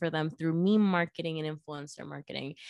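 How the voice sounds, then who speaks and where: A woman is speaking against a quiet background. Her pitch varies in an ordinary way. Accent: Spanish. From Venezuela. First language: Spanish. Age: 20s. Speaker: viral marketer. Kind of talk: casual interview chat.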